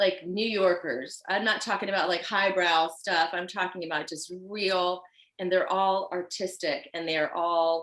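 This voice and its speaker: This woman's voice sits at a medium pitch and moves at a moderate pace. Her tone is animated. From Virginia Beach, US. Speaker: fashion designer. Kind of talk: podcast interview.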